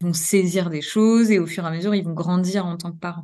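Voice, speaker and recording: A woman speaks fairly quickly at a medium pitch, her intonation fairly even. Her tone is dark and mellow. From Normandy, France. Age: 40s. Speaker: pediatric nurse and trainer. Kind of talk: interview.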